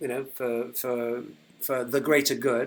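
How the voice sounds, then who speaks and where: A man at a moderate pace with a British accent, on a very clean recording with a silent background. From UK. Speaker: company founder. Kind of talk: livestream update. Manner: hesitant, many fillers.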